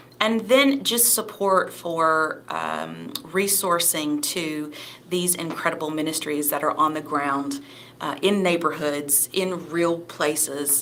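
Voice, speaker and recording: A woman speaks at a very slow pace in a very deep, low pitch with ordinary pitch variation. Noticeable background noise and audible room echo fill the recording. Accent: Southern. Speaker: ministry executive director. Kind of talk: panel discussion. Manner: hesitant with fillers.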